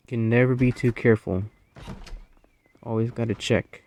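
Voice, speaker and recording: A man speaks at a moderate pace. The sound is dry and close, with no echo. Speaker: gaming YouTuber. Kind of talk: gameplay commentary. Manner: unscripted, some stuttering; casual, conversational.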